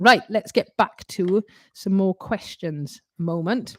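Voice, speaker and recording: A woman speaks at a fairly slow pace in a medium pitch. The sound is dry and close with no echo, on a very clean recording with a silent background. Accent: Welsh. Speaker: ukulele teacher. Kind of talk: live stream Q&A. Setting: live stream. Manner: loud; animated.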